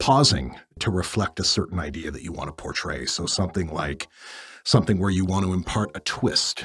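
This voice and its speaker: A man speaks in a very deep, low voice that is somewhat breathy. His pace is fairly quick. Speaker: aspiring voice actor practicing voice work. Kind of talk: casual talk to camera, vlog. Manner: conversational, self-reflective.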